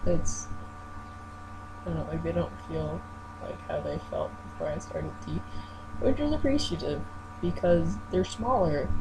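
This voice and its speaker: A man with long, frequent pauses, audible room echo, and noticeable background noise. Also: fairly slow pace. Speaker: vlogger. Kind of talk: video diary. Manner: halting.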